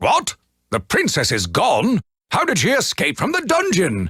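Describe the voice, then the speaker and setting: A man performs a cartoonish character voice. He pitches it high. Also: moderate pace. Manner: blustering, flustered.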